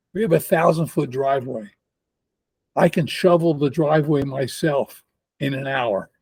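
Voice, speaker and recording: A man with a fairly high pitch talks at a moderate pace, taking long, frequent pauses. His voice is somewhat breathy, with ordinary pitch variation. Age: 80s+. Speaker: geneticist and entrepreneur. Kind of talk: casual interview.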